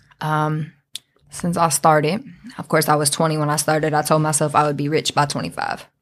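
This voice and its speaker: In a Detroit accent, a woman delivers her words in a very deep, low pitch with monotone, flat intonation. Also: moderate pace. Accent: Detroit urban American English. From US Midwest, Southwest Detroit, Michigan. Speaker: rapper. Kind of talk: casual chat.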